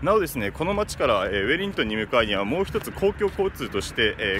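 A man talks at a very fast pace with very wide pitch swings, recorded dry with no echo over noticeable background noise. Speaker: travel vlogger. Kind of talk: casual vlog commentary. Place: street. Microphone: phone near.

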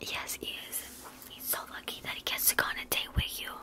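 Soft-spoken and whispering, a woman is heard over noticeable background noise. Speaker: makeup roleplay creator. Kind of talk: roleplay chat to viewer. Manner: soft close ASMR whisper. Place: home room. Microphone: phone near.

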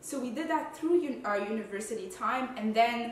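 Audible room echo surrounds a woman with a fairly high voice. Light background noise runs underneath. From Quebec. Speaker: food photographer and content creator. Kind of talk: casual Q&A vlog. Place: home room.

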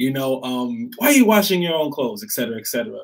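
Over a quiet background, a man speaks in an animated tone with lively intonation. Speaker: guest speaker on men and patriarchy; guest. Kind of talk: casual discussion. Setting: live stream. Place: home room.

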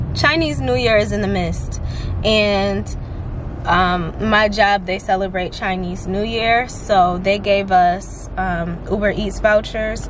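A woman talks at a fairly slow pace with fairly even intonation, and noticeable background noise can be heard. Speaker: vlogger. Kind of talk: casual vlog chat. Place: car. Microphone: phone near.

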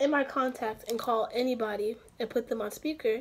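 Over light background noise, a woman speaks at a fairly quick pace with a high pitch and fairly even intonation. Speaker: vlogger. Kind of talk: casual vlog chat. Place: home room. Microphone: phone near.

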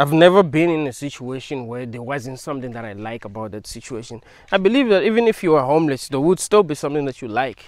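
Against a quiet background, a man talks at a very fast pace and a fairly high pitch, with big swings in loudness and hardly any pauses. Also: lively intonation, dry sound with no echo. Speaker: video creator. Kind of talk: philosophical monologue. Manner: rambling, repetitive; casual. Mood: calm, thoughtful. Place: open country. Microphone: lapel.

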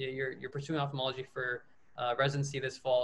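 The speaker is a man. His pace is very fast. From Kentucky. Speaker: podcast host, medical student; podcast host. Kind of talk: casual interview chat. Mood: friendly, casual. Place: home room. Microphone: webcam.

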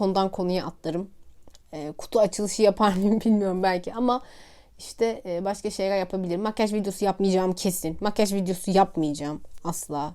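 A woman talks at a fairly quick pace. Her pitch is medium. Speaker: vlogger and science teacher. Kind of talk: casual vlog monologue. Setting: at home, sitting on a pouf. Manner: chatty, talkative.

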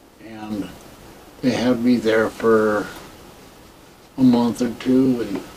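Over light background noise, a man with an American accent speaks at a very slow pace in a monotone, flat way, with long, frequent pauses. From US Midwest. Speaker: war veteran. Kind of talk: oral history interview. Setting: veterans care home. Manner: halting. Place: home room.

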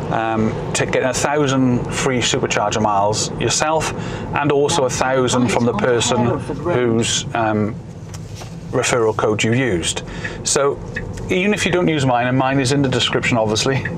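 A man speaks at a very even loudness. Noticeable background noise sits behind him. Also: ordinary pitch variation, moderate pace. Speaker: car owner vlogger. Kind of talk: casual vlog chat. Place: car. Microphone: camera far.

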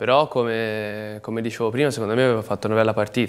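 The pace is very fast. The intonation is flat and monotone. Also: man. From Tuscany, Livorno; Tuscany. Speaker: professional footballer; guest. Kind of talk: TV sports talk show interview. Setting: TV studio. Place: studio.

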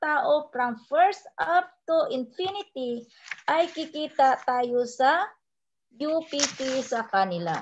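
Her voice is high, and a woman speaks very slowly. Her pitch swings very widely over light background noise. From Philippines. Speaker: overseas Filipino worker, network marketing trainer; network marketing trainer. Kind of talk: sales presentation. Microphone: video call.

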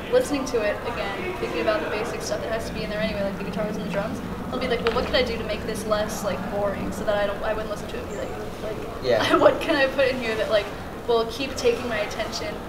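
A woman speaks at a very fast pace with ordinary pitch variation. Music plays in the background. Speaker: interviewee. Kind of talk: interview answer. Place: hall. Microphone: camera far.

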